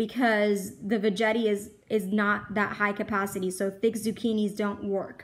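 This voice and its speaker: A woman talks at a moderate pace, the background quiet. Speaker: home shopper vlogger. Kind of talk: casual vlog chat. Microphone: phone near.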